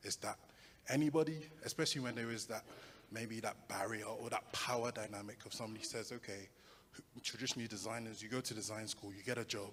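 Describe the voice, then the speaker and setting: In a London accent, a man rattles along at a very fast pace with a medium pitch and fairly even intonation. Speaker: audience member asking a question. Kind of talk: audience question.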